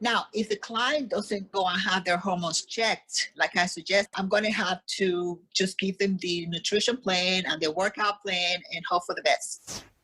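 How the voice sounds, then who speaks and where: Here is a woman with a normal speaking voice at medium pitch. She talks at a moderate pace with fairly even intonation. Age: 60s. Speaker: fitness coach. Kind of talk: podcast interview.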